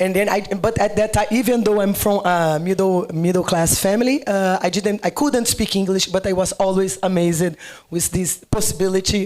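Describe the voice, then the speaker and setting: A woman with a Brazilian Portuguese accent speaks at a moderate pace and medium pitch, with ordinary pitch variation and noticeable background noise. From Brazil, Rio de Janeiro. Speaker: agricultural researcher. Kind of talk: panel discussion.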